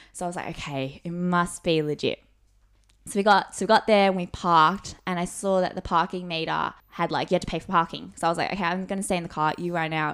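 Fairly quick speech in an Australian accent, very cleanly recorded against a silent background. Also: woman. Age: 20s. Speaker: university student. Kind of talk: casual chat.

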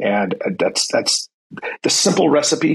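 A man with a General American accent. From US, San Francisco Bay Area. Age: 40s. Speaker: police sergeant. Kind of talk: casual interview.

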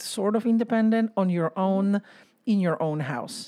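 A woman with a Polish accent talks at a fairly slow pace in a dark, mellow tone. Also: very clean recording, silent background. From Poland. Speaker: podcast co-host. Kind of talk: casual chat.

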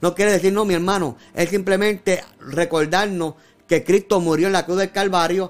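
The man's voice is high in pitch, with fairly even intonation, very even loudness and a moderate pace. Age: 50s. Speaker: pastor. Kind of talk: sermon. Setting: social media livestream.

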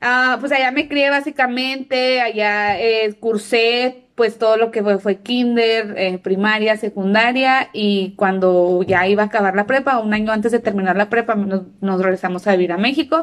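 A woman with an unremarkable speaking voice and a fairly high pitch talks at a fairly slow pace, with hardly any pauses, very even loudness and ordinary pitch variation. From northern Mexico (Delicias, Chihuahua). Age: 30s. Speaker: podcast co-host, English teacher. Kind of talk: casual chat.

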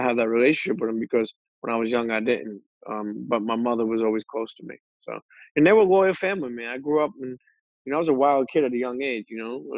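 Very fast and with a New York accent, the speaker shows big swings in loudness and ordinary pitch variation. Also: man, medium pitch for a man. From Brooklyn, New York (Coney Island). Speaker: podcaster. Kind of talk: casual interview. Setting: video call.

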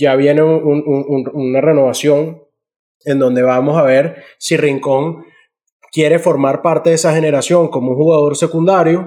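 Fairly slow and flat in intonation, a man speaks with a Venezuelan accent. His pitch is fairly high, and his tone is dark and mellow. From Venezuela, Valles del Tuy and Falcón. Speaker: podcast co-host. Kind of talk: casual chat.

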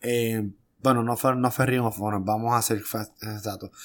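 The speaker, with a Puerto Rican accent, is captured in a very clean recording with a silent background. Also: man. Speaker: wrestling podcast co-host. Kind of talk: casual chat.

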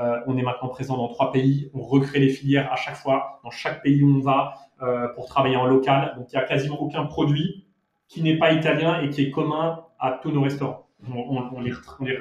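A man's fairly high-pitched voice, fairly quick in pace and fairly even in intonation. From Monaco and Paris. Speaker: restaurant founder. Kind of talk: interview. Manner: halting, frequent repetitions.

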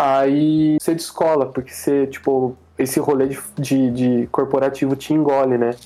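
This man keeps a moderate pace with hardly any pauses. His intonation is monotone and flat. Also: fairly high pitch for a man, very even loudness. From Caçapava, São Paulo interior, Brazil. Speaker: illustrator. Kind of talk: casual chat.

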